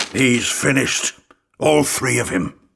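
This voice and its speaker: A man puts on a raspy character voice at a medium pitch. He keeps a moderate pace. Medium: audio drama. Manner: blunt.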